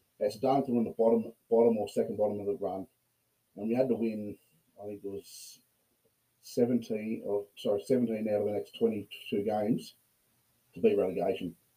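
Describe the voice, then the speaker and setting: A man with an Australian accent speaks at a moderate pace and medium pitch, in a dark, mellow tone. His intonation is fairly even, broken by long, frequent pauses. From Australia, Port Macquarie. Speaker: rugby player. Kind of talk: casual chat.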